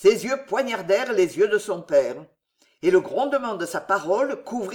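The clip has an unforced reading voice and a quiet background.

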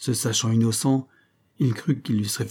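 Read aloud in a natural voice, the delivery keeps a fairly even intonation.

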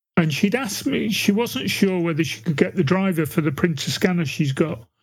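A high-pitched man with a British accent. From UK. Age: old. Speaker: podcast co-host. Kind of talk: casual chat.

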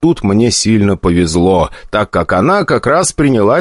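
Lively intonation in an unforced reading voice.

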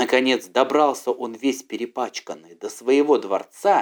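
A man with a medium pitch talks at a moderate pace.

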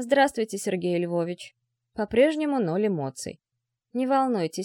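Lively intonation and a quiet background, reading aloud in a natural voice

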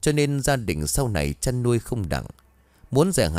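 Plain reading aloud, nothing more

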